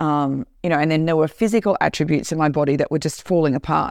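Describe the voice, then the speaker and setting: Dry and close with no echo, a woman's fairly low voice shows ordinary pitch variation against a quiet background. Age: 60s. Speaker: podcast host. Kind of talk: solo monologue. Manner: animated.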